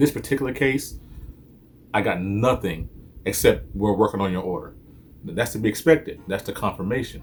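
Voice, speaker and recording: With music in the background, a man with a fairly low pitch talks at a fairly quick pace in an animated tone with lively intonation, leaving long, frequent pauses. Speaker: sneaker reviewer. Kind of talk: unboxing review. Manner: fast.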